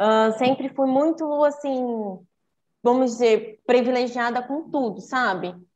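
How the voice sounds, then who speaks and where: A woman's voice sits high in pitch with ordinary pitch variation. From Brazil. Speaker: podcast guest, traveler. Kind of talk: casual interview chat.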